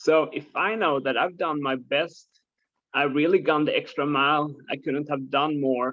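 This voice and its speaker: A man with a non-native accent and a fairly high voice speaks at a moderate pace with fairly even intonation. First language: not English. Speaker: course participant. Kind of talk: question in group call. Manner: halting.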